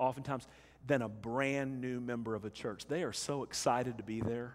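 A man talking at a fairly quick pace. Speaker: preacher. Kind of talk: sermon. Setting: church. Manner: animated, call-and-response preaching, urging the congregation to say amen; warm, conversational, earnest, candid. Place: church.

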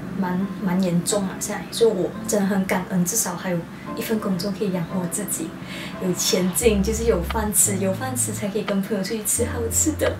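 A woman speaks at a moderate pace. Music plays in the background. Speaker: vlogger. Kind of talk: casual vlog chat. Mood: reflective, grateful. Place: home room.

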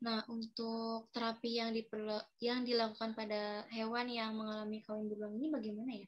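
Over a quiet background, a woman speaks fairly quickly in a fairly high, somewhat breathy voice with monotone, flat intonation. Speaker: student podcast host. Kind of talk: casual student podcast hosting. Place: home room. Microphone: video call.

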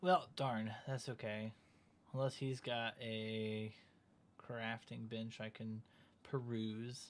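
A man with a slight Southern US accent speaks at a medium pitch and a very slow pace, his intonation fairly even and his words broken by long, frequent pauses. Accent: flat, little Southern. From US South. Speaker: gaming streamer. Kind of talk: live gameplay stream chat. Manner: casual, conversational. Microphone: headset.

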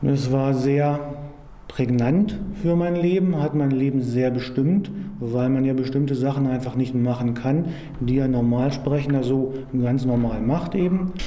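A man's voice at a fairly slow pace, with ordinary pitch variation and light background noise. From Lower Saxony, Germany. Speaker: computer scientist, person who stutters in therapy. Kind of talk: documentary interview answer. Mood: reflective, serious. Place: classroom.

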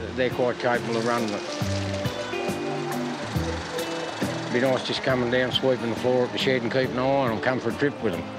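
With clear music in the background and a dry sound with no echo, a man talks at a fairly quick pace. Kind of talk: interview answer. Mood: relaxed, plain-spoken. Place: beach.

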